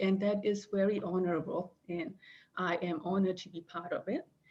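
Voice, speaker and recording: The voice is somewhat breathy and carries a non-native accent. The pace is fairly slow. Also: woman. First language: not English. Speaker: reference librarian. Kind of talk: conference presentation. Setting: video call. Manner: halting, many fillers.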